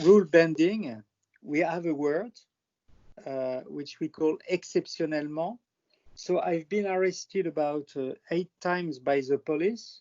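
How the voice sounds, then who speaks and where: A man with a French accent, high in pitch, at a fairly slow pace with ordinary pitch variation. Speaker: airline industry professional presenting his country. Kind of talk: presentation on video call. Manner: halting, many fillers.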